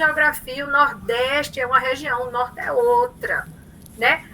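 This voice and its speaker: Against noticeable background noise, a woman with a strong Paraíba accent speaks in a raised, projected voice. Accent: Paraíba northeastern Brazilian accent, strong. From Paraíba, northeastern Brazil. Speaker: professor. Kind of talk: lecture. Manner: animated.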